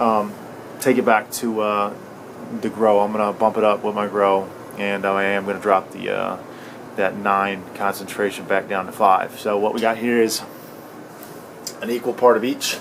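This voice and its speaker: Over noticeable background noise, a man speaks at a moderate pace with long, frequent pauses. His intonation is monotone and flat. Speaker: cannabis grower tutorial youtuber. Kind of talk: tutorial. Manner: many fillers and hesitations.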